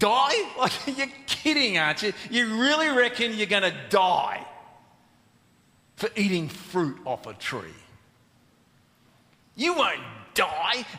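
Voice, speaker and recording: Using a put-on character voice, a man speaks fairly slowly in a high pitch, with long, frequent pauses and audible hissing. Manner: hissing, mocking, incredulous.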